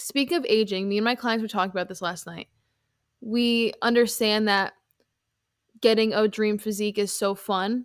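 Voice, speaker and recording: A woman with a plain, everyday voice talks at a medium speed, her pitch sitting fairly high. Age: 20s. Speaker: fitness coach and podcast host. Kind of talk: casual solo podcast monologue.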